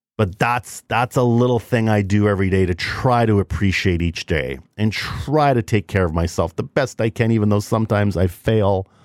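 A man with an ordinary speaking voice, pitched fairly low, uses ordinary pitch variation and very even loudness, heard in a dry, close recording with no echo and a very clean, silent background. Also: moderate pace. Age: 50s. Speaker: podcast host. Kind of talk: solo motivational talk. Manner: conversational, informal.

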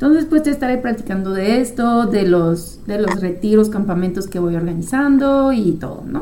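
A woman with a French accent, fairly high pitch and lively intonation, at a moderate pace with hardly any pauses, plus audible room echo and noticeable background noise. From France. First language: French (speaking Spanish). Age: 30s. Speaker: psychologist and podcast host. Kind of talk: casual monologue.

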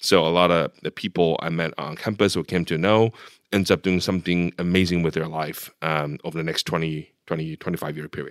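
In a very deep, low pitch and monotone, flat intonation, a man speaks at a moderate pace, the sound dry and close with no echo on a very clean recording with a silent background. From Taiwan, moved to Los Angeles at 13. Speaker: venture capitalist. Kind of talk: interview. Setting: office.

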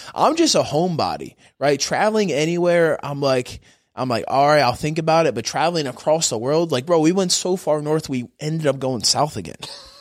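With ordinary pitch variation, a normal speaking voice keeps up a fairly quick pace. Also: man, fairly high pitch for a man. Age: 20s. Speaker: jiu-jitsu athlete. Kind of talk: casual chat.

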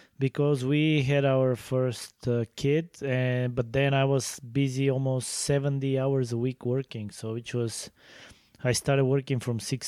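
On a very clean recording with a silent background and a dry, close sound with no echo, a man with a Bulgarian accent talks at a moderate pace in a medium pitch with a dark, mellow tone. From Bulgaria (Sofia). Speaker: podcast co-host, fencing coach. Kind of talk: casual chat.

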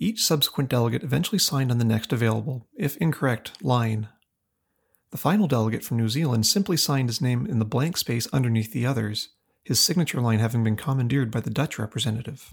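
Very fast and somewhat breathy, a man speaks with very even loudness throughout. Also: medium pitch for a man, ordinary pitch variation, very clean recording, silent background. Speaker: podcast host. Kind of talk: history documentary narration. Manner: measured, formal, solemn; steady, scripted delivery.

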